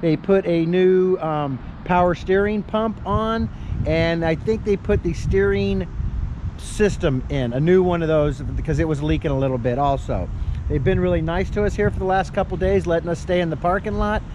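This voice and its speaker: Noticeable background noise runs under a dry sound with no echo. A man speaks at a moderate pace. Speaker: RV traveler vlogger. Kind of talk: casual vlog chat. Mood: relaxed, grateful. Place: street. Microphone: phone near.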